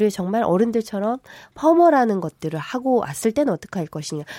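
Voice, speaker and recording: Her pitch swings very widely in a dark, mellow tone as she speaks at a fairly quick pace, the sound dry and close with no echo. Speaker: lawyer. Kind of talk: panel debate. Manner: loud, impassioned.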